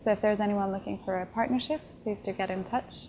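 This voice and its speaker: A woman speaks at a very fast pace in a dark, mellow tone. Noticeable background noise runs behind her. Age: 20s. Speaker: tech startup founder. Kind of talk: interview. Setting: conference event. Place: home room. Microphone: lapel.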